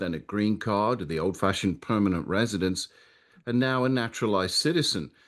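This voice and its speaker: A man's fairly low voice with an English accent and lively intonation, against a quiet background. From England, Nottingham. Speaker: Anglican priest, commentator. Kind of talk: radio talk show interview.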